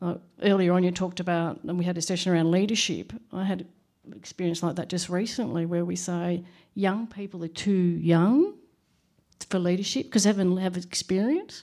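Delivered at a moderate pace with fairly even intonation, the dark, mellow voice sits in a very clean recording with a silent background. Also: woman, fairly low pitch for a woman. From Australia. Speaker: HR practitioner. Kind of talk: panel discussion.

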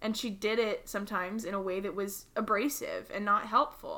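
The woman's tone is bright and sharp. She keeps to a fairly slow pace. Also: very clean recording, silent background. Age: 20s. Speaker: podcast co-host. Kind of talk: casual chat.

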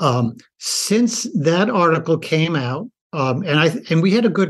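Here is a normal speaking voice from a man with an American accent and a fairly high pitch. He talks at a fairly slow pace with lively intonation. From rural US. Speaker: doctor and author. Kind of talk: interview.

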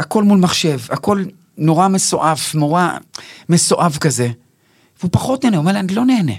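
Speaking at a fairly quick pace with long, frequent pauses, a man has a high pitch. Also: lively intonation. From Israel, Bnei Brak. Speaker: actor and stand-up comedian. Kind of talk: casual interview.

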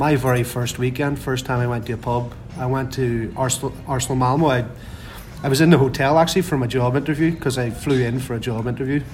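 Speaking very fast with a Northern Irish accent, a man keeps a medium pitch and fairly even intonation amid audible room echo and noticeable background noise. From Northern Ireland. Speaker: football fan, supporters club member. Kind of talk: casual chat. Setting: pub before a match.

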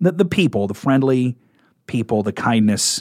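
A man talks at a moderate pace with a Midwestern US accent. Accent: US Midwest. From Nebraska. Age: 40s. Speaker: radio program director. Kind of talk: interview. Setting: studio.

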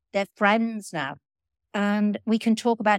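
A woman speaks in an ordinary speaking voice at a moderate pace. The sound is dry and close with no echo, on a very clean recording with a silent background. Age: 60s. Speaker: podcast co-host, sober community member. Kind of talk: casual chat. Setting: in a living room, in person.

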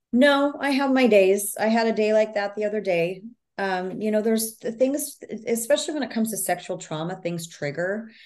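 An ordinary speaking voice with lively intonation and a fairly quick pace. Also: woman, fairly high pitch for a woman. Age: 50s. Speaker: author and speaker on trauma healing. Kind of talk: interview.

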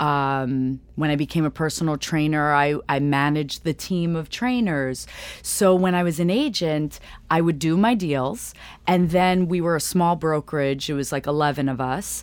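Very deep and low in pitch, a woman with an American accent speaks at a moderate pace with ordinary pitch variation on a very clean recording with a silent background. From New York City (Riverdale, Bronx). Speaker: real estate executive. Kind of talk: casual interview chat.

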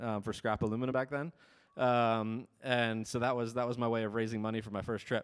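A man with an American accent at medium pitch and moderate pace, monotone and flat, on a very clean recording with a silent background. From US Northeast, Ulster County, New York. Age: 30s. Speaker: missionary. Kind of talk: sermon. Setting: church. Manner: casual, many filler ums.

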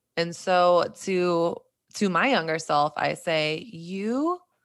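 A woman with a normal speaking voice talks at a medium pitch with ordinary pitch variation, captured in a very clean recording against a silent background. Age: 30s. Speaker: faith podcaster and speaker. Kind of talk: casual chat.

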